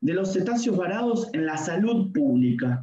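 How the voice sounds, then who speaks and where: The pitch swings very widely. Audible room echo surrounds the voice. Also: man. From Argentina, Buenos Aires coast; Argentina. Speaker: veterinarian and lecturer; lecturer. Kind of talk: lecture. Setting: video call. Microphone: video call.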